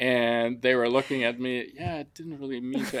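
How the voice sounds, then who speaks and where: Speaking with a German accent, a man keeps his intonation fairly even. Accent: German accent, still present. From Germany (Frankfurt), partly raised in Africa. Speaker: construction company owner. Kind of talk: interview.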